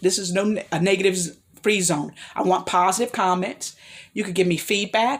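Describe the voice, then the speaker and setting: This woman speaks at a medium pitch with ordinary pitch variation. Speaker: vlogger giving life advice. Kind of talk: solo vlog monologue. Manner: fast; halting, tripping over words.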